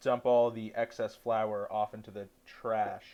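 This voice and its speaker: A man speaks at a very slow pace. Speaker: cooking livestreamer. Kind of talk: cooking tutorial. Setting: livestream from dorm room.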